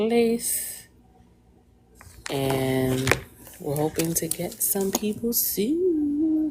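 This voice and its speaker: A woman's pitch swings very widely as she speaks. Noticeable background noise runs underneath. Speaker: livestream host interviewing parents. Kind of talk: casual live stream chat. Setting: live video stream. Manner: calm, even.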